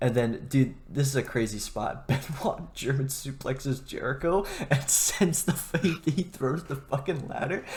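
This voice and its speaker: At a moderate pace with hardly any pauses, a man speaks in an ordinary speaking voice, fairly high-pitched and with ordinary pitch variation. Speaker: wrestling podcast host. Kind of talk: casual chat.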